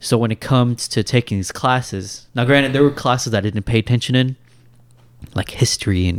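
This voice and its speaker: With a Kentucky accent, a man talks at a very fast pace and medium pitch with ordinary pitch variation, on a very clean recording with a silent background. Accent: general American, Kentucky. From Louisville, Kentucky. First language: Indian language. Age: 30s. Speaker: guest, software developer. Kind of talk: casual chat.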